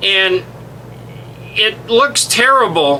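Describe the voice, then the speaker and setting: A man talks in a raised, projected voice. Noticeable background noise runs underneath. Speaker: web platform trainer. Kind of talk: screen-share tutorial. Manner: casual, halting with fillers.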